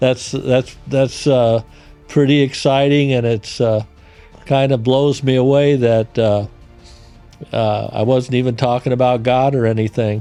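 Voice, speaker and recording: A man talks at a medium pitch with a monotone, flat intonation. His loudness stays very even while music plays in the background. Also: fairly slow pace. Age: 70s. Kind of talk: casual interview answer.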